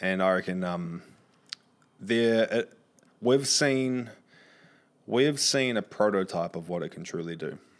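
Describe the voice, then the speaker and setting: This man speaks with a New Zealand accent at a fairly slow pace, pausing often and at length. His voice sits fairly low, with lively intonation. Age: 30s. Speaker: content creator and marketer. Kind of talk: podcast interview. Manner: expressive, frequent swearing.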